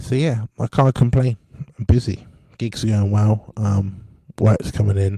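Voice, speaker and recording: The man's voice is fairly low-pitched, dark, mellow and somewhat breathy, with fairly even intonation at a very slow pace in a dry, close sound with no echo. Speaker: musician and podcaster. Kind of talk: casual monologue. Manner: hesitant, many fillers.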